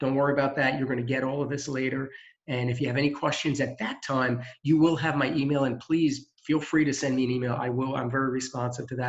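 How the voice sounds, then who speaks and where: At a very fast pace, a man speaks at a medium pitch in a monotone, flat delivery. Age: old. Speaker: employment center staff. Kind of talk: presentation.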